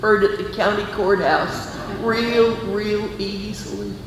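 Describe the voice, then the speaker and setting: Noticeable background noise sits under a woman speaking with an Appalachian accent. Her medium-pitched voice stays monotone and flat. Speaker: storyteller. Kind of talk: live storytelling performance. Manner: humorous, well-timed.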